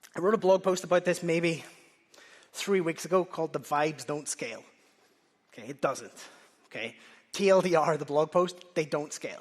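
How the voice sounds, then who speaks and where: This speaker has a Northern Irish accent and keeps a moderate pace. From Northern Ireland. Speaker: conference speaker, software engineer. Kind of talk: conference talk. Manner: animated.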